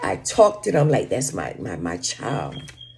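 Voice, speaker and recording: Moderate pace, with music in the background. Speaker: social media vlogger giving relationship advice. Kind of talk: casual monologue to camera.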